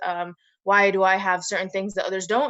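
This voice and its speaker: A woman with an American accent, her bright, sharp tone at medium pitch, monotone and flat, at a fairly quick pace. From United States. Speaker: activist. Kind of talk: panel discussion. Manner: hesitant, many fillers.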